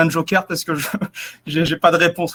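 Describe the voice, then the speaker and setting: A high-pitched man with a slight southern French accent, in a dry, close sound with no echo. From southeastern France. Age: 20s. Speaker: naval cyber defence officer. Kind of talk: interview. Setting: webinar broadcast.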